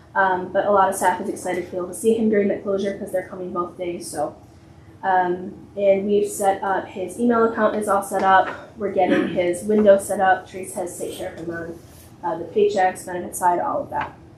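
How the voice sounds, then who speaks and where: A woman at a fairly quick pace, fairly even intonation, big swings in loudness, audible room echo and noticeable background noise. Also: medium pitch for a woman. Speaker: library director. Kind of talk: board meeting report. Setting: public meeting in township hall. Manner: fast; frequent filler words.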